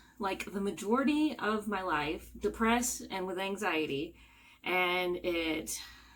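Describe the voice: Audible room echo surrounds a woman speaking at a fairly low pitch with ordinary pitch variation.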